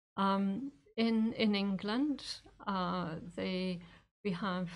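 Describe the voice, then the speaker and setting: A woman speaks in a Scottish accent with ordinary pitch variation. Her voice is somewhat breathy. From Scotland. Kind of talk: interview. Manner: hesitant, many fillers.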